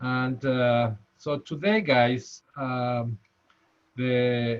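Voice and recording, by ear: With a strong Spanish accent, a man of medium pitch speaks at a very slow pace in a clear, smooth tone with fairly even intonation.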